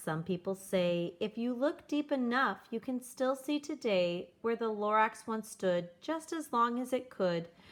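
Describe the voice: The intonation is lively. It is plain reading aloud.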